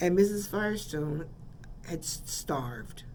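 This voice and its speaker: A woman speaks with an American accent and lively intonation. Her pace is fairly slow, and the room echo is audible. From San Francisco, California. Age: 70s. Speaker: radio host. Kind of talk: radio storytelling. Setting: radio studio.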